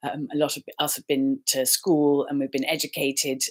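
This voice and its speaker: A woman with an English accent speaks in a very deep, low voice on a very clean recording with a silent background. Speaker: life coach and healer. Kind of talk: casual talk to camera. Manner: warm, friendly.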